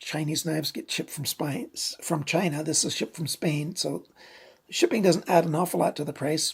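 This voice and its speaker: The voice is somewhat breathy, with lively intonation. It moves along at a moderate pace. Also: woman. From Canada. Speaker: knife reviewer. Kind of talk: product review. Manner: casual, conversational.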